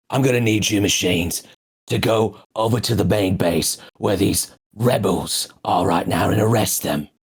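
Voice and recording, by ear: Put-on character voice from a man, raspy and gruff, fairly low-pitched with ordinary pitch variation, at a moderate pace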